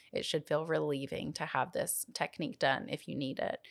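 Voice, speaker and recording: On a very clean recording with a silent background, a woman with a Southern US accent speaks in a very deep, low pitch. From US South. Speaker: pelvic floor physical therapist. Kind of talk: interview.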